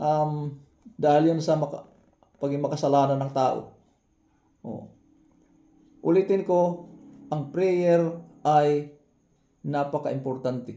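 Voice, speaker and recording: Pausing long and often, a man with a fairly high pitch and a dark, mellow tone speaks at a fairly slow pace with fairly even intonation. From Samar, Philippines. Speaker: Baptist pastor. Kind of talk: sermon, Bible teaching in Tagalog with English terms. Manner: earnest, preacherly, repeats phrases, halting with fillers.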